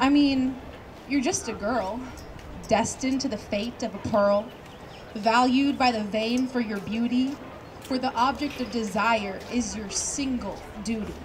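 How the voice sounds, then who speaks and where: A woman's high-pitched voice with fairly even intonation and long, frequent pauses, over noticeable background noise. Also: fairly slow pace. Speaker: college student. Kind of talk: slam poetry performance. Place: open country.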